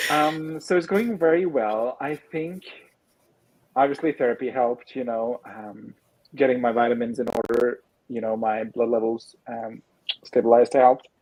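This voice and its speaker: With a non-native accent, a man speaks at a medium pitch and moderate pace, showing ordinary pitch variation and big swings in loudness. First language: not English. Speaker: writer, streamer. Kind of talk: casual chat.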